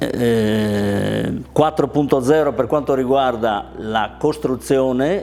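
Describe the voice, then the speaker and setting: Noticeable background noise is present throughout. Over it, a man talks with ordinary pitch variation. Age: 60s. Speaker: kitchen manufacturer, business owner. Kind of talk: business testimony.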